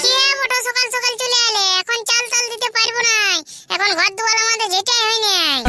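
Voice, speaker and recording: A woman's squeaky, cartoonish character voice at an extremely high pitch and moderate pace, with faint music in the background. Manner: sharp-tongued, scolding.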